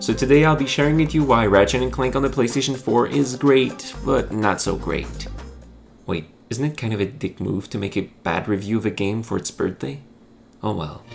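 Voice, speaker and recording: With music playing behind him, a man talks at a moderate pace and medium pitch, his voice swinging very widely in pitch. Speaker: video game reviewer. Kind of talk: video essay narration.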